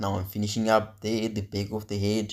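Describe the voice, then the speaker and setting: Over a very clean recording with a silent background, a man speaks at a fairly low pitch in a monotone, flat intonation. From Africa. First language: African local language. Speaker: vlogger. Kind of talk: casual vlog narration. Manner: halting.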